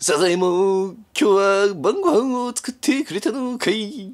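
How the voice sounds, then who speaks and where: Someone uses a put-on character voice with a fairly high pitch, delivered at a fairly slow pace. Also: very clean recording, silent background. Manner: cartoon impression.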